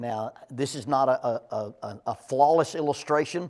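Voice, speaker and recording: The voice belongs to a man with a fairly high pitch and an Alabama accent. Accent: US Southern (Alabama). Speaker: Bible class teacher. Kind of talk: Bible class lecture. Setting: church classroom at a podium. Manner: conversational, repeats words often.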